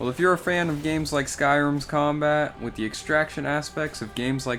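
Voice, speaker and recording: A man's fairly high-pitched voice at a moderate pace, with music in the background. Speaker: gaming youtuber. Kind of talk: scripted narration.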